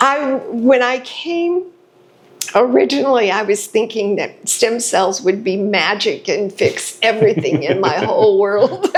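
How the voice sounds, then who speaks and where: Over noticeable background noise, a woman talks at a fairly slow pace with very wide pitch swings. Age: 70s. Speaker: stem cell patient. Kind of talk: interview.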